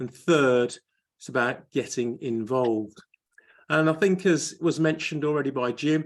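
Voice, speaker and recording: A man speaks at a moderate pace in a fairly high pitch with lively intonation. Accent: Birmingham. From Birmingham, England. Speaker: area director in a public speaking club. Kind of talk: panel talk. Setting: video call.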